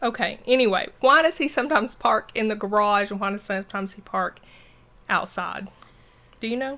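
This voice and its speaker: A woman's fairly high-pitched voice in a Southern US accent, at a fairly quick pace, with ordinary pitch variation and big swings in loudness. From US South. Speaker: podcast host. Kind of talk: casual chat.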